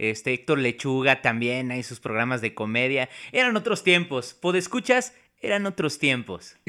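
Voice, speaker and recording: The tone is bright and sharp, with lively intonation. The pace is moderate. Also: man, medium pitch for a man. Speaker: podcast co-host. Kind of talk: casual chat. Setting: remote recording.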